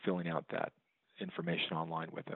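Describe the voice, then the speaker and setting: A man with a Texan accent speaks with fairly even intonation. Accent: Texan American. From Texas, San Antonio. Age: 40s. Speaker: bankruptcy attorney. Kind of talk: interview. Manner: hesitant, many fillers.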